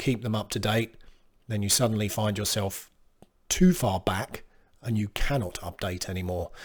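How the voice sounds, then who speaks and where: On a very clean recording with a silent background, a man with a fairly low pitch and a somewhat breathy voice speaks at a moderate pace. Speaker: computer technician. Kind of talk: casual talk to camera.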